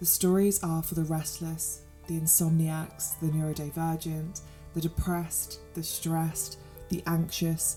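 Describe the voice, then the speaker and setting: With music in the background, someone speaks in a British accent at a fairly slow pace. The intonation is monotone and flat. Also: woman. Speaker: sleep story narrator. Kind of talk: channel intro. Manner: calm, warm.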